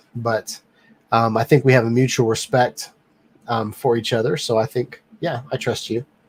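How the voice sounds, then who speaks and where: A man talks at a moderate pace and medium pitch in a relaxed, somewhat breathy tone, with monotone, flat intonation and a dry, close sound with no echo. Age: 40s. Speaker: live stream host, drone reviewer. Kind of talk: casual live stream chat. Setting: home office studio, live stream. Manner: many filler ums, relaxed.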